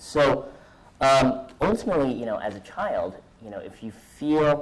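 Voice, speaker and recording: With a Californian accent, a man talks using ordinary pitch variation. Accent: American, California. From US West Coast, San Francisco Bay Area. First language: Mandarin. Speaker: conference speaker. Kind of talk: personal talk to audience. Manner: halting, many fillers.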